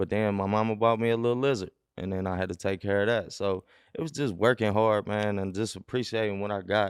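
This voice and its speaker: Very fast speech from a man with a fairly low pitch and an American accent, fairly even in intonation, over a quiet background. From Cincinnati west side, Ohio. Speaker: mailman and comedian. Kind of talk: podcast interview. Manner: casual, slangy.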